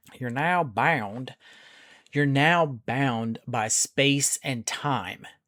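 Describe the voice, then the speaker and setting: Heard on a very clean recording with a silent background, a man speaks very slowly with a bright, sharp tone. His pitch is medium with ordinary variation, and the sound is dry and close with no echo. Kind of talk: casual discussion.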